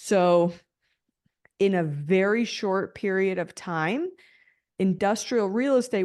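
This woman has an American accent and a medium pitch, with ordinary pitch variation. She speaks at a very slow pace against a quiet background. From Denver, Colorado, US. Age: 30s. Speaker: commercial real estate broker. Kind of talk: interview.

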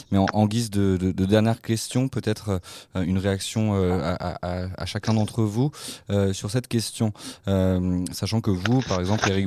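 A man talks at a moderate pace with a fairly low pitch and a dark, mellow tone. His intonation is fairly even, and the sound is dry and close with no echo, a very clean recording with a silent background. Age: 20s. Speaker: radio host. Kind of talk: radio talk show. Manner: halting, repeats words.

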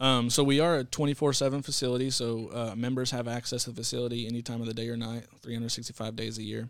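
A man with a Texan accent, medium pitch, monotone, flat intonation, a very fast pace and hardly any pauses. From Texas. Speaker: fitness center director. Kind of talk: casual interview.

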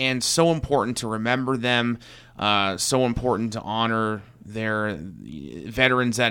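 A man speaks at a medium pitch with a bright, sharp tone. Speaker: radio host. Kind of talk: radio interview. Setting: studio.

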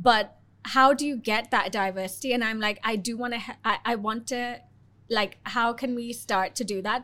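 A plain, everyday voice with ordinary pitch variation talks at a moderate pace on a very clean recording with a silent background. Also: woman. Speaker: podcast host. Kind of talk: casual interview.

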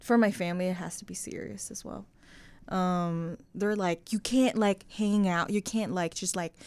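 At a moderate pace, a plain, everyday voice comes through in a very clean recording with a silent background. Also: woman. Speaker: college student podcast co-host. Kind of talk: casual chat.

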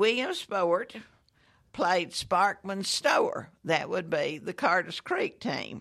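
A woman speaks at a very slow pace with a Southern US accent. The recording is very clean, with a silent background. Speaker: local history guest. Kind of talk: casual chat.

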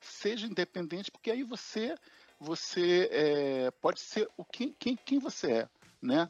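A man's high voice with very wide pitch swings at a fairly slow pace, music in the background, and a dry, close sound with no echo. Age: 60s. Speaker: project manager. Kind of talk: interview. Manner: halting, many repetitions.

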